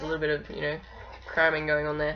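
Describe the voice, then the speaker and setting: Mumbled speech comes through over noticeable background noise. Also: woman. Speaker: vlogger documenting gender transition. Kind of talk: casual video diary. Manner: mumbling; hesitant, many fillers.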